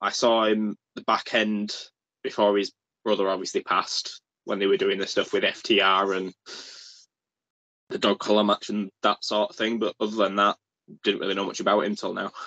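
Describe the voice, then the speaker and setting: Against a quiet background, a man talks at a moderate pace, pausing long and often. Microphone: video call.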